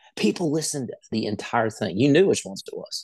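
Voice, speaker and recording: A man with a plain, everyday voice talks at a fairly quick pace and a fairly high pitch. The background is quiet. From West Virginia. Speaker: country singer. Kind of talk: casual interview chat.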